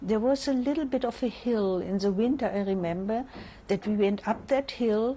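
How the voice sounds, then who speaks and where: A woman speaks with a German accent in a fairly high, somewhat breathy voice with lively intonation, on a very clean recording with a silent background. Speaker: Holocaust survivor. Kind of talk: interview answer.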